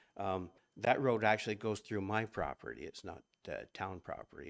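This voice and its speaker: With a Canadian accent, a man talks at a fairly slow pace in a fairly low pitch with ordinary pitch variation, on a very clean recording with a silent background. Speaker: local landowner speaking at public meeting. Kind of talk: public comment at council meeting. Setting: council chamber, microphone. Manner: halting, many fillers.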